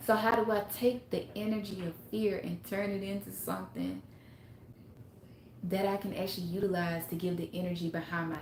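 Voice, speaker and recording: A woman with a Mississippi accent talks at a moderate pace. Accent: Southern US, Mississippi. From US South, Mississippi. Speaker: spiritual self-help livestreamer. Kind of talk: casual livestream talk. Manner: animated.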